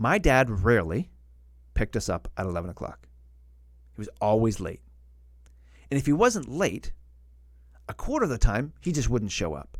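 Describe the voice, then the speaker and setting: Vocal fry marks this man's medium-pitched voice, which moves in very wide pitch swings with long, frequent pauses. The recording is very clean, with a silent background. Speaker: live streamer. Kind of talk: motivational talk on livestream. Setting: live stream. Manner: fast.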